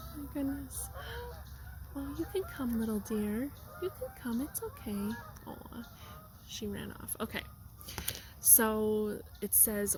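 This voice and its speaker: A woman speaks at a very slow pace. Noticeable background noise can be heard behind her. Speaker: tarot card reader. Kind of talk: tarot reading. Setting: outdoors in a park. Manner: loud.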